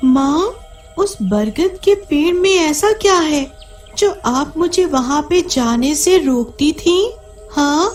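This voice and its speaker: A put-on character voice sounds female and sits at an extremely high pitch. Music plays clearly in the background. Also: fairly slow pace. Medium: audio drama.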